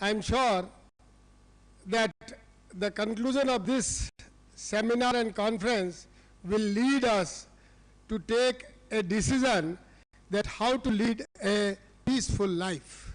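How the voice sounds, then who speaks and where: The speaker has an Indian accent and very even loudness, with ordinary pitch variation. The pace is very slow, with long, frequent pauses. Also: man. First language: Hindi. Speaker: university president. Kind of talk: formal speech. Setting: conference stage with audience.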